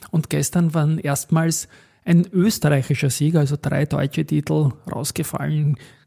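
A man speaks at a moderate pace in a fairly high, somewhat breathy voice with a dark, mellow tone. His intonation is fairly even, and the recording is very clean with a silent background. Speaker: stock market podcast host. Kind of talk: solo market commentary podcast.

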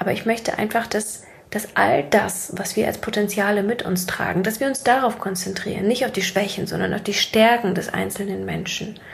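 A woman of medium pitch speaks at a moderate pace with ordinary pitch variation, and noticeable background noise can be heard. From Siberia, Russia. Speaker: podcast host, mindset coach. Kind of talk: monologue, casual motivational talk. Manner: casual, laughing at times.

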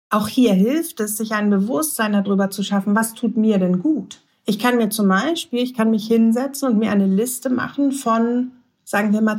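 A woman speaks at a moderate pace in a fairly high, somewhat breathy voice with ordinary pitch variation, on a very clean recording with a silent background. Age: 40s. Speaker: lawyer and positive psychology lecturer. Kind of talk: interview.

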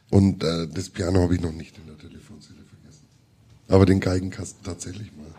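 Here a man speaks very fast in a very deep, low pitch with a dark, mellow, somewhat breathy tone. His intonation is monotone and flat, while his loudness swings widely. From Middle Franconia, Germany. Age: 50s. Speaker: musician and cartoonist. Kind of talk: live interview with audience. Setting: stage with audience.

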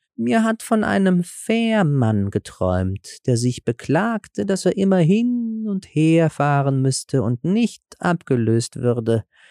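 Using a put-on character voice, a man speaks slowly and fairly high in a dark, mellow tone with big pitch swings and few pauses, on a very clean recording with a silent background and a dry, close sound with no echo.

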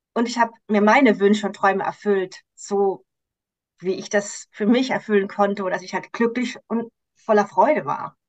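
Medium in pitch, a woman talks at a moderate pace in a plain, everyday voice. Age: 50s. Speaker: coach for women, cancer survivor. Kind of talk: interview.

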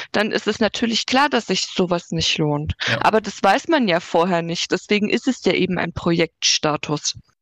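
A woman speaks with an ordinary speaking voice at a medium pitch and moderate pace. Her intonation is lively, and she takes hardly any pauses. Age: 20s. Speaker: digital streetworker, social worker. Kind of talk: casual interview.

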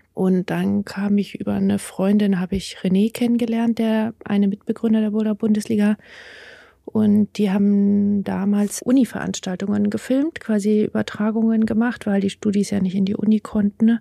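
Dry and close with no echo, a woman's somewhat breathy, dark, mellow voice holds a medium pitch in monotone, flat intonation at a moderate pace with very even loudness. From Bavaria, near the Alps. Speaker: livestream crew member. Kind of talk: casual interview.

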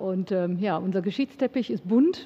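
The pace is moderate throughout. It is delivered in a plain, everyday voice. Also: woman. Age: 50s. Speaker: podcast host. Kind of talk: interview. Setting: studio.

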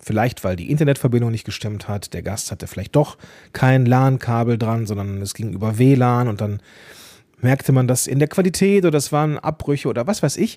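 With lively intonation and a dark, mellow tone, a man speaks at a fairly quick pace in a medium pitch. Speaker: podcast coach and host. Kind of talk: solo podcast monologue.

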